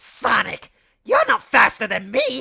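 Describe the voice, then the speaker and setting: Fairly slow pace in a put-on character voice. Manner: cocky, taunting.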